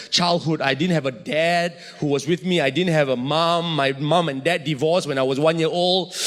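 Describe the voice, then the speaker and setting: There is noticeable background noise as a man talks in an animated tone at a moderate pace. His high voice shows ordinary pitch variation. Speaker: preacher. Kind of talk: sermon-style personal story told to an audience. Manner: animated, humorous, expressive storytelling.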